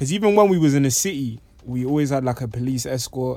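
Fast as can be, a man with a London accent speaks in a dark, mellow tone with lively intonation. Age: 20s. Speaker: poet. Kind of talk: casual chat.

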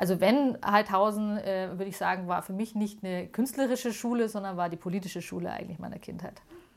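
At a fairly quick pace with hardly any pauses, a woman with an unremarkable speaking voice holds a medium pitch and fairly even intonation but shows big swings in loudness. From Munich, Bavaria. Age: 40s. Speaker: museum founder. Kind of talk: interview.

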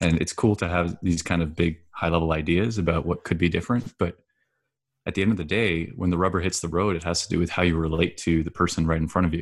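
A man with a very deep, low voice, very fast delivery and fairly even intonation. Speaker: podcast guest. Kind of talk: casual chat. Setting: remote call. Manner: composed, calm.

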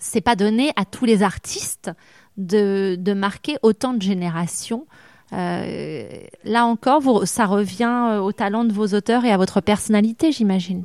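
Recorded very cleanly against a silent background, with a dry, close sound and no echo, a woman uses an unremarkable speaking voice at medium pitch with ordinary pitch variation. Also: fairly slow pace. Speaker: radio interviewer. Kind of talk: interview.

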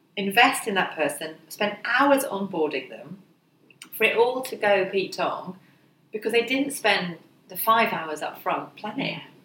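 At a fairly slow pace, a woman with a medium pitch speaks with lively intonation and big swings in loudness. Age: 40s. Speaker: career mentor. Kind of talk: podcast interview.

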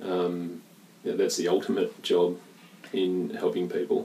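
At a moderate pace, a man talks with an Australian accent. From Western Australia, Perth. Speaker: sports nutritionist. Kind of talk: casual chat. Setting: at home. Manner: gentle.

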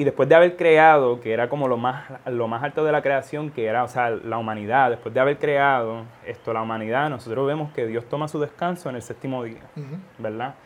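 Speaking with a plain, everyday voice, a man keeps a fairly quick pace at medium pitch with ordinary pitch variation and hardly any pauses. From Puerto Rico-born, raised in Florida from age four. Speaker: seminary student. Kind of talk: casual religious podcast discussion.

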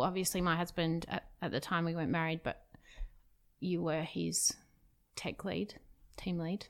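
Speaking at a moderate pace with an Australian accent, a woman is heard on a very clean recording with a silent background. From Perth, Western Australia. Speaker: tech company CTO. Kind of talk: casual interview.

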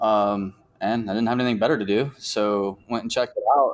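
Moderate pace and fairly even intonation. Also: man. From Virginia, Norfolk. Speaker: climbing gym director. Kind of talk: interview. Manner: halting, many fillers and repeats.

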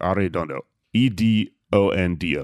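In a very clean recording with a silent background and a dry, close sound free of echo, a man with an American accent talks with ordinary pitch variation. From Texas, Houston. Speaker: stand-up comedian and podcast host. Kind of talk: casual chat.

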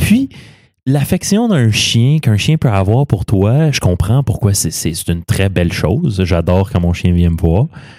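A man with a Quebec accent and a fairly low pitch speaks at a fairly slow pace, his tone dark and mellow and his intonation lively. The sound is dry and close with no echo, on a very clean recording with a silent background. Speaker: podcast host. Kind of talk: casual chat.

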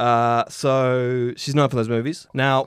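A man with a New Zealand accent, medium pitch and a fairly slow pace, set against a quiet background. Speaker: podcast host. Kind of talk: reading aloud.

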